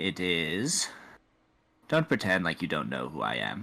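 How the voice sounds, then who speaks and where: Over a very clean recording with a silent background, a man uses a put-on character voice at a moderate pace, pitched very deep and low. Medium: actual play. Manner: cool, formal, persistent.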